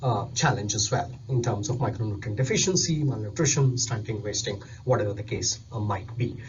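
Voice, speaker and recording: The man's somewhat breathy voice moves at a moderate speed, and audible echo fills the room. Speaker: nutrition specialist. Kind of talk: recorded presentation.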